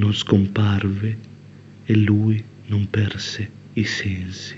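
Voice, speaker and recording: A man speaks at a fairly low pitch, somewhat breathy. His intonation is flat and monotone. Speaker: poet. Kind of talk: poet spoken word, confessional poem.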